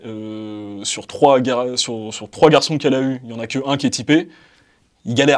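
On a very clean recording with a silent background, the voice moves at a moderate pace with ordinary pitch variation, big swings in loudness, and long, frequent pauses. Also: man, medium pitch for a man. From France, Val-d'Oise suburbs (cité). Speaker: debate participant. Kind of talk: casual debate.

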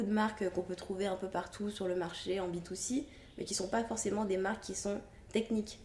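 Fairly even intonation at a fairly quick pace, with noticeable background noise. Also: woman. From Guadeloupe (childhood to age 9). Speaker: hairdresser and brand founder. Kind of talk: interview.

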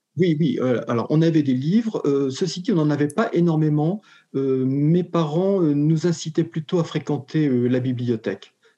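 Over a quiet background, a man with a fairly high, dark and mellow voice speaks at a fairly slow pace with ordinary pitch variation. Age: 60s. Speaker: retired educator turned short story author. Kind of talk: interview. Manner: halting, many repetitions and hesitations.

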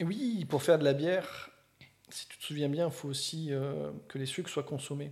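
Somewhat breathy, a man speaks at a fairly high pitch, leaving long, frequent pauses. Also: ordinary pitch variation. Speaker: beer podcast co-host. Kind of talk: casual chat. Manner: fast.

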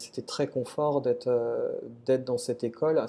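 A man's voice at medium pitch carries a dark, mellow tone. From western France, Nantes. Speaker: gemologist. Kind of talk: interview. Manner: halting.

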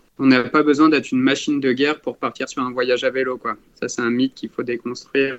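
A medium-pitched man speaks at a fairly quick pace with monotone, flat intonation. The sound is dry and close, with no echo. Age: 20s. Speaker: cycling traveller. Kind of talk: podcast interview.

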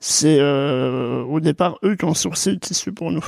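A man with vocal fry and lively intonation speaks at a fairly slow pace, the sound dry and close with no echo. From Jura, eastern France. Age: 20s. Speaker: startup co-founder. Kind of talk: interview.

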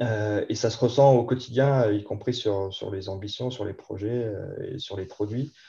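In a quiet background, a man talks fairly slowly at a medium pitch, his dark, mellow, somewhat breathy voice keeping fairly even intonation with hardly any pauses. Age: 40s. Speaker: IT director. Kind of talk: interview. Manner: hesitant, many fillers and repetitions.

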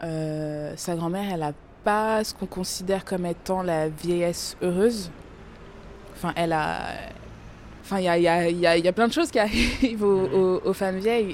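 This woman's voice sits fairly low in pitch, with ordinary pitch variation. She speaks at a fairly slow pace, leaving long, frequent pauses. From France, of Congolese parents. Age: 20s. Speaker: podcast guest discussing texts. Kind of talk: casual conversation.

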